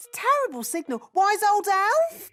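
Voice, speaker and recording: In a put-on character voice, a female-sounding speaker talks squeaky and at an extremely high pitch, keeping a moderate pace. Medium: cartoon. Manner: brisk, self-assured.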